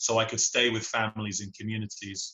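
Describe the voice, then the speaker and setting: A man speaks with an English accent at a fairly quick pace. His pitch is fairly low. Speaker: singer-songwriter. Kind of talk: podcast interview answer.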